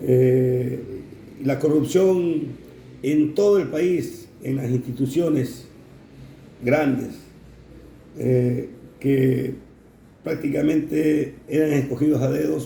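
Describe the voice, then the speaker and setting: A man at a very slow pace, fairly high in pitch, with ordinary pitch variation and audible room echo. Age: 60s. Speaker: navy veteran. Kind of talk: interview. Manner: halting, many fillers.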